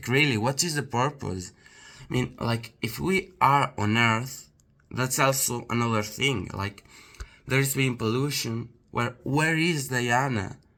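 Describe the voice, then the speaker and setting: A man with a non-native accent and medium pitch speaks at a fairly slow pace in a bright, sharp tone with ordinary pitch variation. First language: not English. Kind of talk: casual talk to camera. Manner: hesitant, many fillers.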